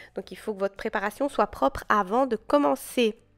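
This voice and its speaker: In a very clean recording with a silent background and a dry, close sound free of echo, a woman talks at a fairly high pitch with ordinary pitch variation. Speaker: nail technician tutorial creator. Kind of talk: tutorial. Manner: hesitant, stumbling over words.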